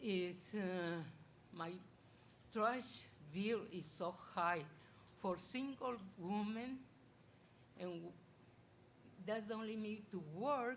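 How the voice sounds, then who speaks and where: In a room with audible echo, a woman with a medium pitch speaks at a very slow pace, using ordinary pitch variation and long, frequent pauses. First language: not English. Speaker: public commenter, local resident. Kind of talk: public comment at council meeting. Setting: city council meeting chamber. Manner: halting, broken English.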